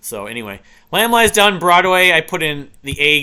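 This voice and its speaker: A man's bright, sharp tone with very wide pitch swings over a quiet background. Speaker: music reviewer. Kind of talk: casual review monologue. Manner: fast; halting. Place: home room.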